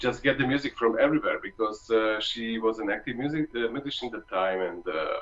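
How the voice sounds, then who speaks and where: With a Hungarian accent, a man of medium pitch talks at a fairly quick pace with ordinary pitch variation and hardly any pauses over noticeable background noise. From Hungary. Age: 30s. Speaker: trombonist. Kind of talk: masterclass talk. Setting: video call. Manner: halting.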